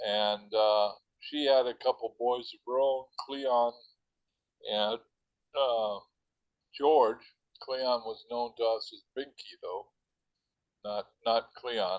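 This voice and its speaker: Very slow speech from a man, broken by long, frequent pauses. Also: medium pitch for a man, fairly even intonation. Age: 70s. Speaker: author. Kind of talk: interview. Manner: halting.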